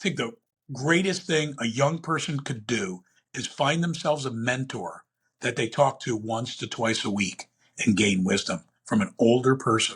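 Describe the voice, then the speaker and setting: In a plain, everyday voice, a man talks at a moderate pace with medium pitch and lively intonation. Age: 60s. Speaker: entrepreneur and investor. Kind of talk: interview.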